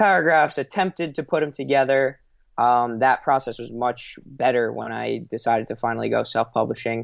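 A normal speaking voice from a man with an American accent, medium in pitch, at a fairly quick pace with ordinary pitch variation. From New York, Long Island. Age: 20s. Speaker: author and entrepreneur. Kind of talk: podcast interview.

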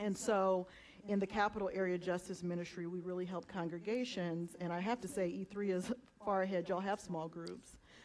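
At a fairly quick pace, a woman with an unremarkable speaking voice talks at medium pitch with fairly even intonation. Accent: American. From Southeast Georgia, US. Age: 40s. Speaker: community organizer, justice ministry leader. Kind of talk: panel discussion in church service.

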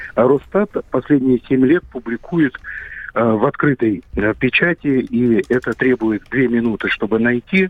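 A man with a plain, everyday voice speaks at a fairly slow pace, using a medium pitch with ordinary variation. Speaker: demography expert. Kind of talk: expert interview. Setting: phone call.

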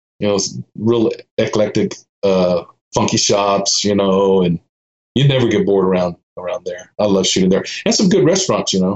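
In a Texan accent, a man speaks at a moderate pace. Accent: Texan American. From Austin, Texas. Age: 50s. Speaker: street photographer. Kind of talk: casual interview chat.

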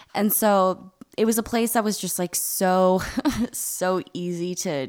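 Her pace is very slow. The woman's medium-pitched voice shows ordinary pitch variation. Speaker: podcast co-host. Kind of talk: casual chat. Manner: says like a lot.

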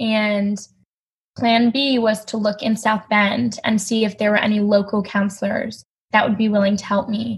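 A somewhat breathy woman's voice at a moderate pace, with monotone, flat intonation. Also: fairly high pitch for a woman. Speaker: college student and eating disorder survivor. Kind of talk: personal testimony in interview.

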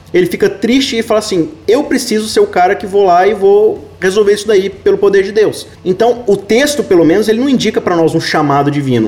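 The speech runs at a fairly quick pace with hardly any pauses and ordinary pitch variation, over noticeable background noise. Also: man, high pitch for a man. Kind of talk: Bible study discussion.

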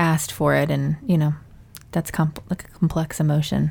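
Here a woman speaks at a fairly low pitch. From Mississippi. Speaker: podcast co-host, mother. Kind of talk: casual chat.

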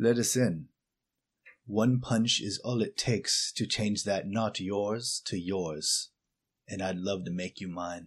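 A man's mumbling, put-on character voice, fairly low in pitch, at a fairly slow pace over a quiet background. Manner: calm, low, mumbling, menacing.

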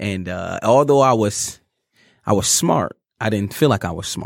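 In a very clean recording with a silent background and a dry, close sound with no echo, a man uses a normal speaking voice, fairly low in pitch with ordinary pitch variation. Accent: American. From Detroit, US Midwest. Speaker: motivational speaker and engineer. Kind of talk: interview, testimony. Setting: studio.

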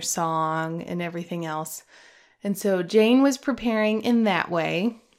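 Here is a plain, everyday voice with an American accent, speaking at a fairly slow pace. The recording is very clean, with a silent background. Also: woman. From US Midwest, Omaha, Nebraska. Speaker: podcast host. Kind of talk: casual monologue.

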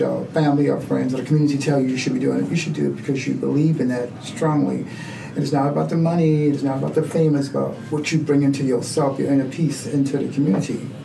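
Speaking at a very fast pace with hardly any pauses, a man with a fairly high pitch comes through over noticeable background noise. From Charleston, South Carolina. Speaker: community center co-founder. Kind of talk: casual interview conversation.

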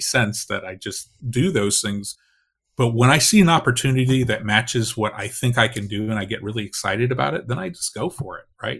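A plain, everyday voice, this man talks at a fairly quick pace and medium pitch, with ordinary pitch variation and big swings in loudness, on a very clean recording with a silent background. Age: 50s. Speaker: ghostwriter and author. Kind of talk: casual interview.

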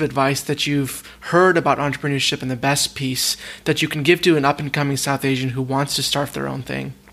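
A man with an unremarkable speaking voice talks at a moderate pace and a fairly high pitch, with hardly any pauses. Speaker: podcast host. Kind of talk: interview conversation.

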